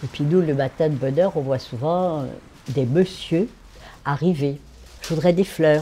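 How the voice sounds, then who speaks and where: A woman with a very deep, low voice and a dark, mellow tone speaks fairly slowly with ordinary pitch variation, leaving long, frequent pauses. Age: 80s+. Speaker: florist. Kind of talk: documentary interview.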